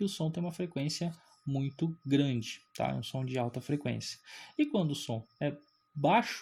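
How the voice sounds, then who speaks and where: Recorded very cleanly against a silent background, a man talks in a fairly high pitch with a somewhat breathy quality. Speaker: physics teacher. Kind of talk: lecture. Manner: animated.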